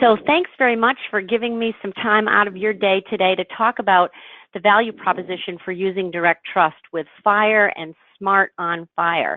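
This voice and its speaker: Speaking at a moderate pace, a woman has an unremarkable speaking voice of medium pitch with ordinary pitch variation. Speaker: health IT standards presenter. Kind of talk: business presentation.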